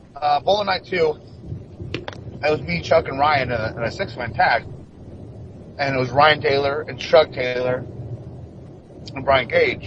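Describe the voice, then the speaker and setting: There is noticeable background noise as a man speaks with long, frequent pauses. His pitch is fairly high, with ordinary variation. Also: moderate pace. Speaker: professional wrestler. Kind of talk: interview. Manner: stuttering.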